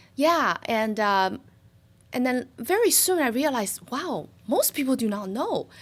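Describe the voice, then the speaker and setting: A woman speaks in a Chinese accent at a high pitch. Her pitch swings very widely, and her pace is fairly slow. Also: very clean recording, silent background. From China (Shanghai). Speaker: financial services business owner. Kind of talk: interview. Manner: hesitant, many fillers.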